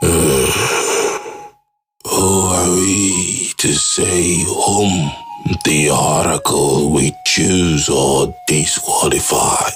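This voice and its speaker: In a put-on character voice, a man growls at a very deep, low pitch and a very slow pace. His loudness stays very even through long, frequent pauses. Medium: audio drama. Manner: grave, authoritative.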